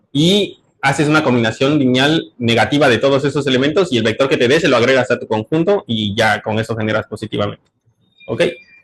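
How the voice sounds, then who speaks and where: Speech races along at a very fast pace, its pitch varying in an ordinary way. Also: man, medium pitch for a man. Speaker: graduate student presenting research. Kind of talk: seminar talk. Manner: hesitant, many fillers.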